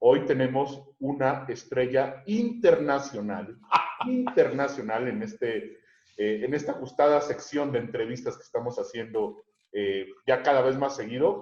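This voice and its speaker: At a fairly slow pace, a man talks with big swings in loudness. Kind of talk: interview host.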